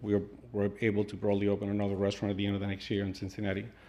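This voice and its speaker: Audible room echo colors a man's fairly low-pitched voice. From South America. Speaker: restaurant owner. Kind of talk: public comment at council meeting. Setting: city council meeting. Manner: halting.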